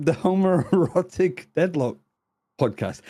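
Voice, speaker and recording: A man speaks with a British accent. His voice is high in pitch with a dark, mellow tone. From northern England. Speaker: esports caster. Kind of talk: casual chat.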